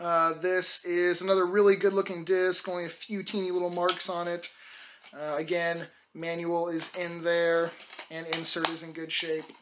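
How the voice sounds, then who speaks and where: Moderate pace over noticeable background noise. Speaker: video game collector YouTuber. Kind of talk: casual sales video talk to camera.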